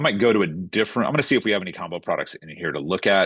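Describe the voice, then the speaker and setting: The voice belongs to a man. The sound is dry with no echo, and the background is quiet. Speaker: software trainer. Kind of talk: tutorial. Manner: fast. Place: home room. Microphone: webcam.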